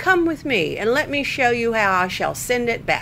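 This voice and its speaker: Over clear background noise, a female-sounding put-on character voice speaks at a high pitch and a moderate pace. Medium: read story.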